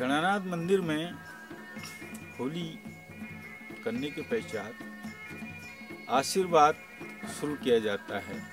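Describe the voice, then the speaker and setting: Music plays behind a man speaking at a fairly high pitch with very wide pitch swings. He leaves long, frequent pauses. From Almora, Uttarakhand, India. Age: old. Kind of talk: interview answer.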